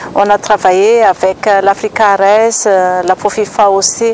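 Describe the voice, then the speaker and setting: A woman at medium pitch speaks very slowly in a flat monotone, with a dry sound without echo and light background noise. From Madagascar. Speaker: seed production business manager. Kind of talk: interview testimony. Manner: halting. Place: garden.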